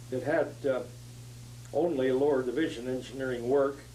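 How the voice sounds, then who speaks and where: In an American accent, a man speaks at a moderate pace and a medium pitch. His intonation is flat and monotone, and the room echo is audible. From US West, southern California. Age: 90s. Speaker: retired engineer, past society president. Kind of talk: oral history interview. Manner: halting, many fillers.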